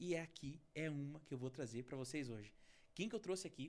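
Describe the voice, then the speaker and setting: This man's fairly high voice carries an animated tone, with ordinary pitch variation and a moderate pace. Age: 30s. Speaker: podcast host. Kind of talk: interview podcast.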